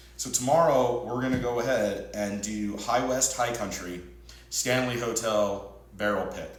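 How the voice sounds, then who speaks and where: A man with an American accent and fairly even intonation, amid noticeable background noise and audible room echo. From Utah. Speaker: podcast host, whiskey reviewer. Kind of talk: casual review monologue. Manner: slightly mushed words.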